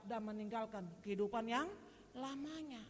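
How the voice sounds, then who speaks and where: A woman's fairly high, fairly slow voice with ordinary pitch variation and audible room echo. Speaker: preacher. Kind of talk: sermon. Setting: church. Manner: animated, addressing congregation directly.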